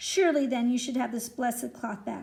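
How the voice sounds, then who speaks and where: A woman uses a put-on character voice, high-pitched and raspy. She talks fairly quickly with ordinary pitch variation. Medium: read story. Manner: mild, courteous.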